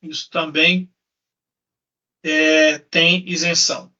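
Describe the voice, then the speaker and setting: A man with fairly even intonation, music in the background. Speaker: lawyer. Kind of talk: lecture. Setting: live stream.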